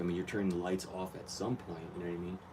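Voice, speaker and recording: This man has a very deep, low-pitched voice. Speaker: aquarium hobbyist vlogger. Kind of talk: casual tutorial vlog. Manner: soft-spoken.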